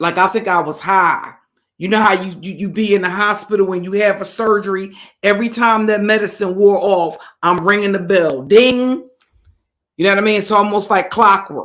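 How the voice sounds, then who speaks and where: At a moderate pace, a woman speaks in a medium pitch with ordinary pitch variation. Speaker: livestream host, narcissistic abuse commentator. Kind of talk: casual livestream chat. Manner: conversational, greets chat mid-sentence.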